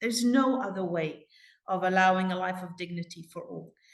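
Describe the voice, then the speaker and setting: A woman with a non-native accent, somewhat breathy, at medium pitch, moderate pace and ordinary pitch variation. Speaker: community advocate. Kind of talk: interview.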